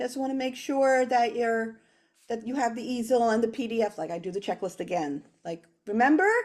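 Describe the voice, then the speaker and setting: A loud woman's voice, fairly high in pitch, at a fairly quick pace. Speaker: children's author and illustrator. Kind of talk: casual interview chat.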